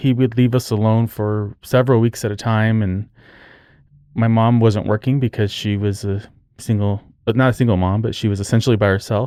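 On a very clean recording with a silent background, a man at medium pitch talks at a moderate pace in a flat monotone. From New Mexico. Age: 40s. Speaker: podcast host, crime victim's brother. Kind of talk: personal testimony.

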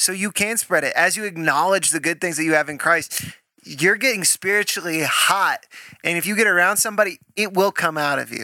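A loud man with a high pitch, bright, sharp tone, ordinary pitch variation and fairly quick pace, in a dry, close sound with no echo. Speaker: podcast co-host. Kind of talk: faith-based casual chat. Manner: intense.

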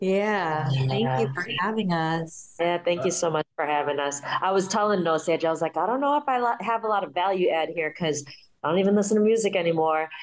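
An ordinary speaking voice moves at a fairly quick pace with lively intonation and very even loudness. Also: woman, fairly low pitch for a woman. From Chicago. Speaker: hip hop enthusiast. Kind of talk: casual chat.

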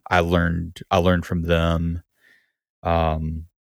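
A man with a Southern US accent speaks in a very deep, low pitch. The recording is very clean, with a silent background. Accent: American Southern, noticeable. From US South, Gulf Coast Alabama. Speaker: musician and music teacher. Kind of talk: casual interview. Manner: halting, many repetitions.

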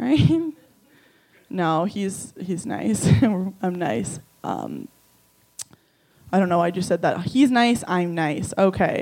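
The speech moves at a very slow pace, broken by long, frequent pauses. Vocal fry runs through it, and the pitch swings very widely. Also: woman, medium pitch for a woman. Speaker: stand-up comedian. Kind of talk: stand-up.

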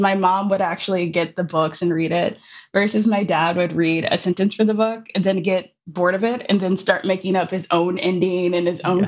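At a moderate pace and medium pitch, a woman with an American accent speaks in an unremarkable speaking voice with fairly even intonation. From Minneapolis, US Midwest. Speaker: poet and educator. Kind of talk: interview conversation.

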